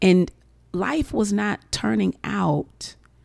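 A woman talks in an animated tone with very wide pitch swings and vocal fry. The sound is dry and close, with no echo. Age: 40s. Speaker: podcast host and divorce coach. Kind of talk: solo podcast monologue.

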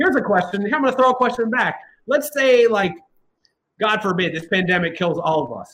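Speaking at a fairly quick pace, a man with a high pitch sounds animated, his intonation lively. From Ohio, Columbus. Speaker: dinosaur science educator. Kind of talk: informal explanation.

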